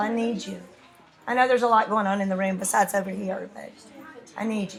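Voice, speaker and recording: Over noticeable background noise and audible room echo, a woman with a fairly high pitch talks at a very fast pace in an animated tone. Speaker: math teacher. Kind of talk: lecture. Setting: classroom.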